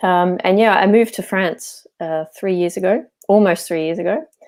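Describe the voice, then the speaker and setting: With an Australian accent, a woman speaks at a medium pitch with ordinary pitch variation. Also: very clean recording, silent background. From Australia, Melbourne. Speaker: landscape architect and English coach. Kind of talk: interview.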